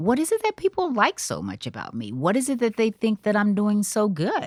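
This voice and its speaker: Her pitch swinging very widely around a medium level, a woman speaks at a moderate pace in a dry, close sound with no echo. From US South. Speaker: TV producer and on-air personality. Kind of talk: interview conversation. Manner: conversational.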